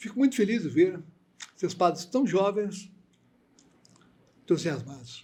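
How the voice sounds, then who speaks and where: Pausing long and often, a man with a high-pitched voice and a dark, mellow tone speaks at a fairly slow pace with lively intonation. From Minas Gerais, Brazil (Viçosa). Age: 80s+. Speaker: priest. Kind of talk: interview.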